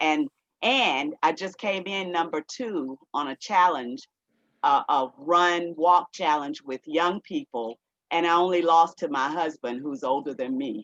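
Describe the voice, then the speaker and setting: Using lively intonation, a woman with a fairly low pitch speaks at a fairly slow pace, with a dry, close sound and no echo. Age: 60s. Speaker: tower garden advocate. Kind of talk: video call testimony. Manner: halting with many fillers.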